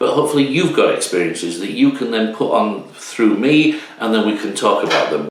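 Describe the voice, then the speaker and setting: Noticeable background noise accompanies a man who talks at moderate speed. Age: 50s. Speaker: YouTube channel host. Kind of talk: casual talk to camera.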